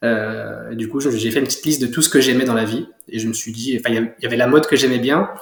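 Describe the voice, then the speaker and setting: Fairly quick speech from a man, medium in pitch, with intonation kept fairly even. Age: 20s. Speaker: young entrepreneur, clothing brand founder. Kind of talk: interview. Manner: hesitant, many fillers.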